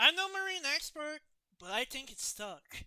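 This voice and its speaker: A put-on character voice at a moderate pace. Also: woman, high pitch for a woman. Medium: read story. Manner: nervous.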